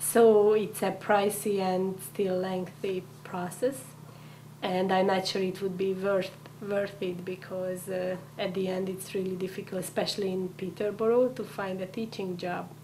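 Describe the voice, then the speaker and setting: A woman speaks at a medium pitch with a Hungarian accent, her intonation monotone and flat. Her pace is fairly slow, with noticeable background noise and audible room echo. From Hungary. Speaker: immigrant, community coordinator. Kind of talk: interview. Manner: halting.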